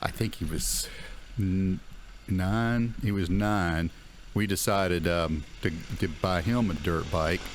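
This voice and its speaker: Very deep and low, a man's voice moves at a very slow pace with long, frequent pauses, fairly even intonation and very even loudness, and the room echoes audibly. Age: 60s. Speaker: dirt bike vlogger. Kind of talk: casual riding commentary. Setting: outdoors riding a dirt bike through woods. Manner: hesitant, many fillers.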